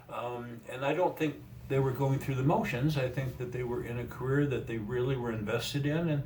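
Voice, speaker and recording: A man of medium pitch talks at a fairly quick pace with ordinary pitch variation. Audible room echo and noticeable background noise are present. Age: 70s. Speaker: retired mental health worker and trainer. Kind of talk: interview. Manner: halting.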